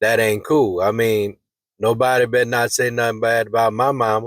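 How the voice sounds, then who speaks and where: This man talks at a fairly quick pace and a medium pitch. His intonation is monotone and flat. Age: 60s. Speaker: vlogger, singer. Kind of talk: storytelling monologue. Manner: casual, conversational.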